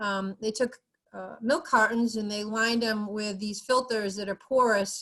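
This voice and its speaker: With fairly even intonation, a woman talks in a fairly high pitch. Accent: New England. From New England. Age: 50s. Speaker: university waste program coordinator. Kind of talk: presentation. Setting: video call.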